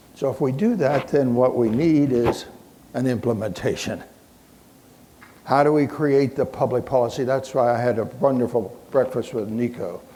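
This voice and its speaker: A man at a medium pitch talks at a moderate pace with fairly even intonation, and the room echo is audible. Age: 80s+. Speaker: physician and keynote speaker. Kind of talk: keynote lecture.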